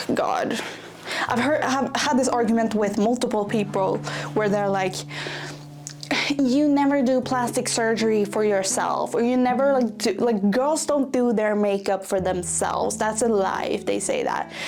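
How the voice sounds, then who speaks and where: A woman with a non-native accent speaks at a moderate pace and a fairly high pitch, with ordinary pitch variation and very even loudness. Audible room echo and noticeable background noise fill the recording. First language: not English. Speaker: vlogger. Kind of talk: casual vlog monologue. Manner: rambling, filler-heavy.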